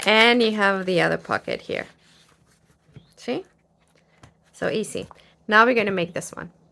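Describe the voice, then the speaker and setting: A woman with a fairly high, bright and sharp voice and vocal fry speaks at a moderate pace with fairly even intonation and long, frequent pauses. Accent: non-native. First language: not English. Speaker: crafter, craft video creator. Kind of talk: tutorial. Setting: home craft studio. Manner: casual, hesitant with fillers.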